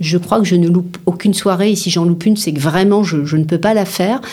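A fairly low-pitched woman's voice with ordinary pitch variation against noticeable background noise. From Paris, France. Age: 50s. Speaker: business founder and CEO. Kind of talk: interview.

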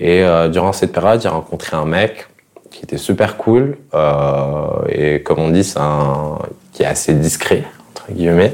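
A man's very deep, low voice at a fairly slow pace, with lively intonation, big swings in loudness and noticeable background noise. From Morocco, Fès. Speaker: interviewee sharing life story. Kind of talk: casual interview. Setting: at his home.

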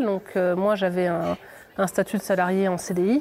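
This woman has a dark, mellow tone at a medium pitch. She talks at a moderate pace. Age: 20s. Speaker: aspiring adult trainer, former customer advisor. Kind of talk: interview. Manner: halting, many repetitions and fillers.

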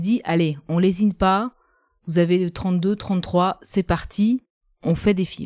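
A woman speaks at a medium pitch with a dark, mellow tone. The sound is dry and close with no echo, on a very clean recording with a silent background. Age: 40s. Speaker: journalist and patient. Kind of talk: personal testimony in interview.

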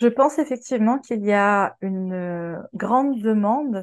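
A woman's medium-pitched voice. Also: quiet background. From Quebec. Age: 40s. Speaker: sex worker. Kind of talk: interview. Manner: hesitant, many fillers.

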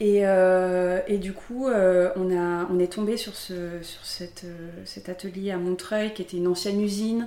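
Noticeable background noise sits under the recording. A woman speaks in a monotone with flat intonation. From southern France, Aix-en-Provence. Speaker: pottery studio founder. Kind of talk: interview. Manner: halting, many fillers and repeats.

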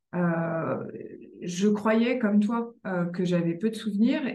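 A woman's tone is dark, mellow and somewhat breathy, with ordinary pitch variation. Audible room echo surrounds her voice. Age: 40s. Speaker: author and journalist. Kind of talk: interview conversation.

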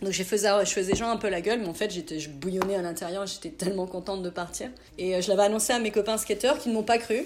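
A woman talks at a very fast pace, her medium pitch showing ordinary variation, while noticeable background noise carries on. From Burgundy, France (near Auxerre). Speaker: skateboard industry agent. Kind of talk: interview.

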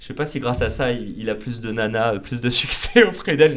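A man speaks with fairly even intonation. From Paris. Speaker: podcaster and entrepreneur. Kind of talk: casual interview. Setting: office studio.

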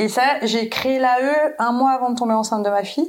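Using a plain, everyday voice, a woman talks at a moderate pace, her pitch varying in an ordinary way. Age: 30s. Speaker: photographer. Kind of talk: casual chat.

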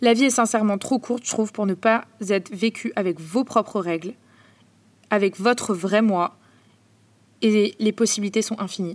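Her fairly high-pitched voice moves at a moderate pace with fairly even intonation, broken by long, frequent pauses. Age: 20s. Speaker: podcast host. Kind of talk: personal monologue. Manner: casual.

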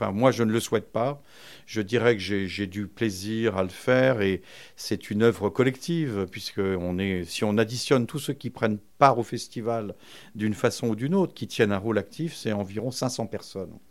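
In a very clean recording with a silent background, a man with an ordinary speaking voice talks at a moderate pace, with a fairly low pitch and ordinary pitch variation. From France, Vincennes. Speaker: book publisher, festival founder. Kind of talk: interview. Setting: publisher's office.

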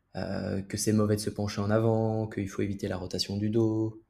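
Somewhat breathy, a man with a dark, mellow tone and fairly low pitch speaks in a very clean recording with a silent background. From Belgium. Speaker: physiotherapist. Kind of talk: casual interview.

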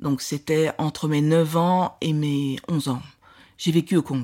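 Very slow female speech, very deep and low, with normal pitch movement. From Belgium. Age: 60s. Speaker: film director. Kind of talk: interview.

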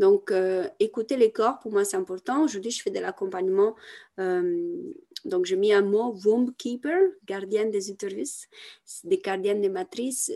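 Speaking fairly slowly in a dark, mellow tone, the woman lets her pitch range very widely. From Italy. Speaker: women's coach and artist. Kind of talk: podcast interview. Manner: halting, many repetitions and fillers.

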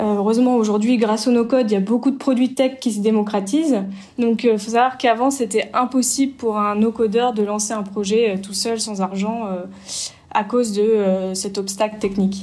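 The woman's tone is dark and mellow, her pitch fairly high. She keeps a moderate pace and fairly even intonation. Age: 30s. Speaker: startup CEO. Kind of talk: interview.

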